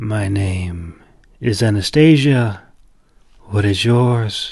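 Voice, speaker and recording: A man puts on a character voice, soft-spoken and fairly low. He speaks at a very slow pace. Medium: read story. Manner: patient, soft-spoken.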